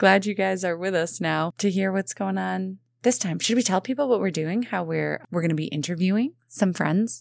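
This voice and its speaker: A woman with a plain, everyday voice talks at medium pitch and a moderate pace, using ordinary pitch variation. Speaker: podcast co-host. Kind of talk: casual chat.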